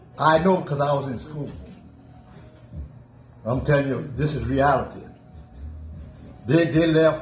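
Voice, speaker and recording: There is music in the background as a man talks at a moderate pace with long, frequent pauses. His pitch is fairly high and his intonation fairly even. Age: 80s+. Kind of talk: casual conversation, recounting history. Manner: insistent, argumentative.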